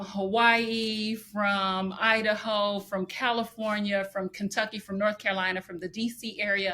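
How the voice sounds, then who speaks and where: A woman's bright, sharp, fairly high voice with an American accent. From Indianapolis, Indiana. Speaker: podcast co-host. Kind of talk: casual podcast conversation.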